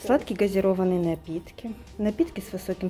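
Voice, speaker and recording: Over clear background music, a woman speaks at a fairly slow pace. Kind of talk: casual vlog chat. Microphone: phone near.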